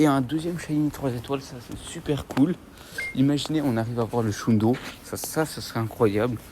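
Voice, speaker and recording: This man has a medium pitch and ordinary pitch variation, speaking at a fairly slow pace. Noticeable background noise runs under the recording. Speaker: gaming YouTuber. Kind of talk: mobile game commentary while playing outdoors. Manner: animated.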